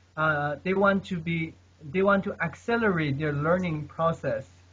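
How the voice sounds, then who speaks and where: This man talks at a moderate pace with fairly even intonation. His pitch is high. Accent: non-native. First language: not English. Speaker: polyglot, language learner. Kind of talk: casual chat. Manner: halting.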